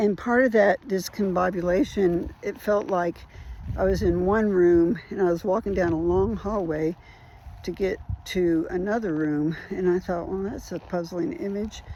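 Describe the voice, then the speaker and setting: Her tone dark and mellow, a woman speaks at a moderate pace in a medium pitch with ordinary pitch variation. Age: 60s. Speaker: trauma survivor sharing recovery journey. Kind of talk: personal testimony vlog. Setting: outdoors on a walk. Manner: casual, reflective.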